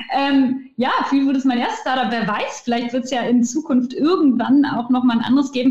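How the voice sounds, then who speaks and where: Ordinary pitch variation in a woman's high voice. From Ruhr area, Germany. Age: 20s. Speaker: start-up founder. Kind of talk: interview. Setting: video call.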